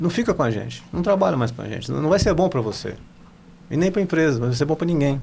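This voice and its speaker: A man talks at a very fast pace with lively intonation and vocal fry. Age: 60s. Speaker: company CEO. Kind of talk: interview.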